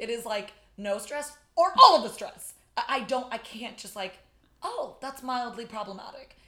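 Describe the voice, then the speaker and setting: With an American accent and lively intonation, the speaker swings widely in loudness against noticeable background noise. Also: woman, high pitch for a woman. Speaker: podcaster and friend. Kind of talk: casual chat. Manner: very fast talker.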